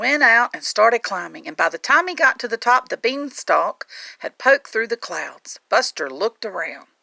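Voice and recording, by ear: A woman talks at a moderate pace with a fairly high pitch, big pitch swings and vocal fry. Her tone is bright and sharp, and the sound is dry and close with no echo.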